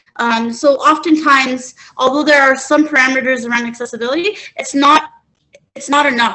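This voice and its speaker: A woman talks at a fairly quick pace. Her voice is high, with ordinary pitch variation. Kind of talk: webinar panel talk.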